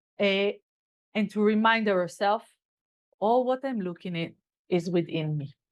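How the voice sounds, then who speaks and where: The speaker has a non-native accent and talks at a moderate pace with ordinary pitch variation. Long, frequent pauses break up the speech. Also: woman, medium pitch for a woman. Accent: non-native English, self-remarked. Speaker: kabbalah teacher. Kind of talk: lecture. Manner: halting.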